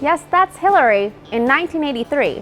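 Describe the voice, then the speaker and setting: Against music in the background, a woman speaks at a fairly quick pace in a high pitch, with a playful tone and very wide pitch swings. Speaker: news video narrator. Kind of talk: news explainer narration. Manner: wry, playful.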